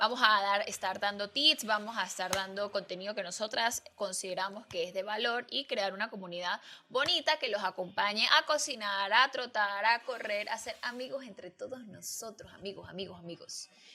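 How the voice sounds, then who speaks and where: A normal speaking voice from a woman, fairly high in pitch, with ordinary pitch variation, big swings in loudness and hardly any pauses. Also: moderate pace. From Venezuela, Andean region. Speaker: podcast co-host. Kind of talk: casual chat.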